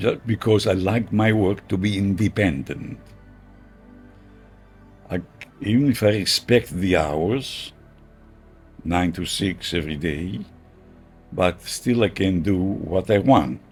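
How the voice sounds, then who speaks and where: With music in the background, a man with a very deep, low pitch speaks at a very slow pace, with ordinary pitch variation and long, frequent pauses. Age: 80s+. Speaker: tailor. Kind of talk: interview answer.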